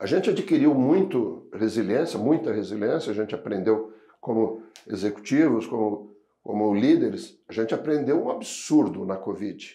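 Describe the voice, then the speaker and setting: Amid audible room echo, a man with a dark, mellow tone speaks at a medium pitch and moderate pace with lively intonation. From southern Brazil (Rio Grande do Sul, Pelotas). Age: 60s. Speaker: logistics association executive. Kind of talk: podcast interview.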